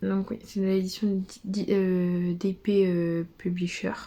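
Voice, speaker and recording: Speaking very slowly, a woman uses a medium pitch, fairly even intonation and a dark, mellow tone that is somewhat breathy. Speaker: book vlogger. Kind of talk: casual vlog. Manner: soft-spoken; hesitant, many fillers.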